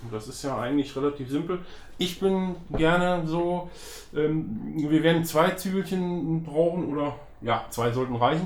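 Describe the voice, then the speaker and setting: Over noticeable background noise and audible room echo, a man speaks at a moderate pace. His pitch is fairly high, with ordinary pitch variation. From Germany, northern Hesse. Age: 50s. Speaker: professional chef. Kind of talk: casual cooking chat. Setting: home kitchen.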